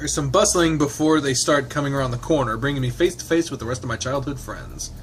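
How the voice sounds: This man talks at a very fast pace with a fairly high pitch and ordinary pitch variation. Background noise is noticeable.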